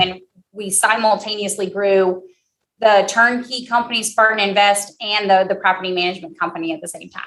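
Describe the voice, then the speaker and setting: A woman with a strong Southern US accent talks at a fairly quick pace, her medium-pitched voice bright and sharp in tone, with fairly even intonation. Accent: heavy southern. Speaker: real estate company executive. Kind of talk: interview answer.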